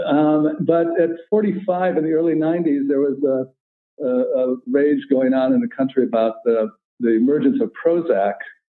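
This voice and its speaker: He has an unremarkable speaking voice with an American accent and a fairly high pitch. The man's intonation is lively and his pace moderate. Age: 60s. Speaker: psychotherapist and novelist. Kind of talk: interview.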